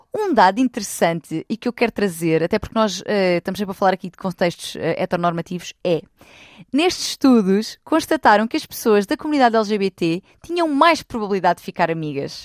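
The speech moves fairly quickly with very wide pitch swings. The sound is dry and close with no echo, on a very clean recording with a silent background. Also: woman, medium pitch for a woman. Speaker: relationship expert. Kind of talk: casual chat.

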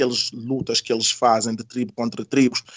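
Medium pitch from a man at a moderate pace. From Senegal (Casamance). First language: not Portuguese; learned it as adult (speaking Portuguese). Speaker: community activist and mediator. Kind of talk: interview conversation. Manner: halting, repeating words.

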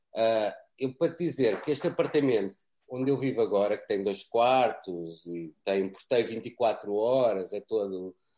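With a dark, mellow tone and lively intonation, a man speaks at a fairly slow pace. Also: medium pitch for a man. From Portugal. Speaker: cameraman. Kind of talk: interview. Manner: repeats words, halting.

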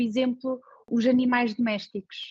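The audio is close and dry, without any echo. This woman takes a fairly slow pace. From Portugal. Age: 30s. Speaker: designer. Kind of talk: interview. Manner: halting.

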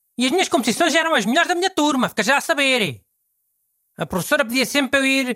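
A man projects his voice at an extremely high pitch, talking very fast in a bright, sharp tone. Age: 60s. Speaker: radio host. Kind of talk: casual chat.

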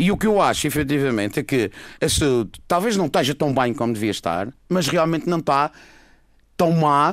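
Lively intonation marks a man's normal speaking voice at a moderate pace. The loudness stays very even on a very clean recording with a silent background. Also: fairly high pitch for a man. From Madeira, Portugal. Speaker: orthopedic surgeon. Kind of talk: radio panel discussion.

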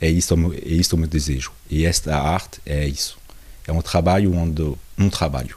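Talking at a moderate pace, a man with a very deep, low pitch keeps his intonation fairly even while noticeable background noise plays behind him. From France, Portuguese parents. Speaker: visual artist. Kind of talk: interview. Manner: halting.

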